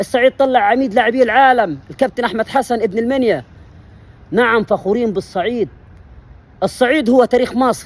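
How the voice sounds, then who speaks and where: An animated man with an Upper Egyptian accent, high in pitch, at a moderate pace with ordinary pitch variation. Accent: Upper Egyptian (Saidi) dialect. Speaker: history channel presenter. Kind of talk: impassioned monologue.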